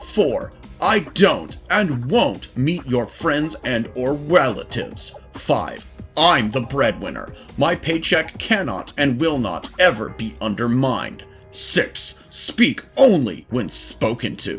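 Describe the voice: Over faint music in the background, a man puts on a character voice with a fairly bright tone, big pitch swings and a slow pace. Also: medium pitch for a man.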